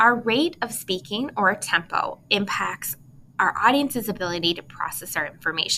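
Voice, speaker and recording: A woman with a plain, everyday voice speaks at a moderate pace with lively intonation. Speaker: college instructor. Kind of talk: lecture. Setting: recorded video lecture.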